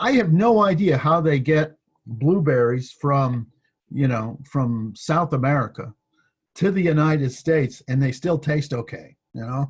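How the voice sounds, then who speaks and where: Somewhat breathy, a man talks at a fairly slow pace with a fairly high pitch. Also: ordinary pitch variation. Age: 60s. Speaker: university professor. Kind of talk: lecture. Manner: halting, many fillers.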